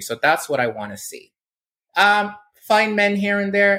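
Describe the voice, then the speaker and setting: This man's tone is bright and sharp. He keeps to a moderate pace. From Barbados. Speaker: blogger and entertainment commentator. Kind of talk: casual interview.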